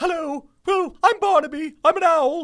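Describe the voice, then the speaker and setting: An extremely high pitch in a put-on character voice. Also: moderate pace. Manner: hooting, eccentric.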